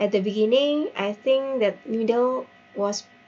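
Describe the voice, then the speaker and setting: With music in the background, a woman with an Indonesian accent speaks at a fairly slow pace and with fairly even intonation. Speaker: teacher. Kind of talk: workshop reflection report. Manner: halting with fillers.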